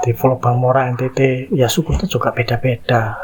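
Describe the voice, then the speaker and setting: A man speaks with an East Javanese accent at a medium pitch. He talks at a fairly slow pace over noticeable background noise. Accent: Javanese accent with East Java arek style. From Indonesia, East Java. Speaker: content creator, social commentator. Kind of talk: casual monologue, commentary.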